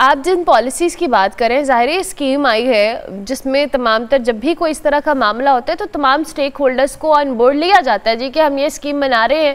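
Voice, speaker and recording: A woman with a high pitch talks with hardly any pauses. Her pitch varies an ordinary amount. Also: moderate pace. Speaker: morning show host. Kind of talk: talk show interview.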